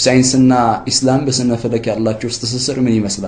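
Against audible room echo and noticeable background noise, a man talks at a medium pitch. His intonation is monotone and flat. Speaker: Islamic religious program presenter. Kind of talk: religious lecture.

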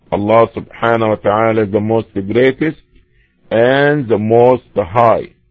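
Music plays in the background as a man speaks at a very slow pace with ordinary pitch variation. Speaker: Islamic lecturer. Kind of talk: religious lecture.

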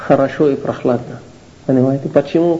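Heard through noticeable background noise and audible room echo, a man speaks with an Arabic accent. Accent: Arabic accent in Russian. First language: Arabic (speaking Russian). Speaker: Islamic lecturer. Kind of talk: lecture. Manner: halting.

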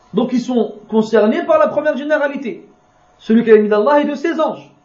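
A man speaks with ordinary pitch variation, and audible room echo surrounds his voice. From France. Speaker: Islamic religious teacher. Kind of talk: religious lecture.

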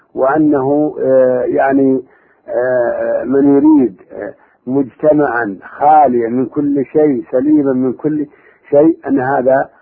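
Very slowly and with long, frequent pauses, a man with a fairly high pitch speaks in fairly even intonation. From Saudi Arabia, Najd (Buraydah and Riyadh). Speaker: Islamic scholar and university professor. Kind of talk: radio interview. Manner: halting.

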